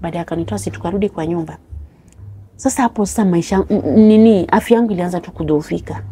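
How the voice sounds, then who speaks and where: A woman talks at a fairly quick pace in a fairly low, dark, mellow voice that is somewhat breathy. Her pitch swings very widely, and her loudness shifts a lot. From Kenya, Homa Bay County (Luo); Kenya. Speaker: interview guest telling life story; interview guest. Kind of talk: personal testimony. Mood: sad, recounting hardship. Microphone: lapel.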